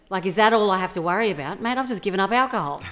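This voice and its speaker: A woman with an Australian accent and lively intonation. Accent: Australian, regional. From regional Australia. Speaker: comedian and actor. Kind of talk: casual interview.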